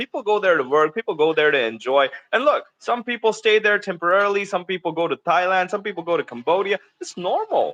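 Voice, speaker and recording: In an animated tone, a man talks very fast at a high pitch. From India. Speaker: ESL teacher. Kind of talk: casual interview chat.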